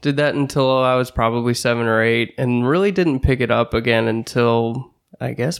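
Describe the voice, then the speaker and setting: A man with a St. Louis accent, medium pitch and fairly even intonation, at a moderate pace in a very clean recording with a silent background. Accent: Midwestern American (St. Louis). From St. Louis area, Missouri. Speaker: musician. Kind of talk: casual chat.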